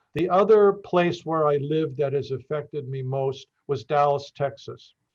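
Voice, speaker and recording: A man with an American accent, a fairly high, somewhat breathy voice, ordinary pitch variation and a moderate pace. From northeastern Pennsylvania. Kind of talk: interview. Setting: podcast. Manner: halting, many fillers.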